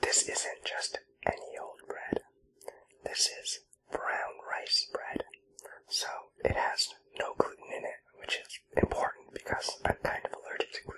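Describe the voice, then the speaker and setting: A man whispering at a fairly slow pace, with long, frequent pauses. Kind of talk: ASMR eating roleplay. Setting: close-mic home recording. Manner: whispered.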